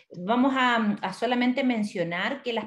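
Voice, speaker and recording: Using a plain, everyday voice, a woman talks at a moderate pace. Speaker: event host. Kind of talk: webinar introduction. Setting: online live stream.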